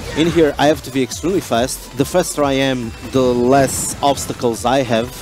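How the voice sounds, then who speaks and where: A man with a Portuguese accent, medium pitch and ordinary pitch variation, with music in the background. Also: moderate pace. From Portugal. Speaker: gaming youtuber. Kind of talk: gameplay commentary. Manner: hesitant, many fillers.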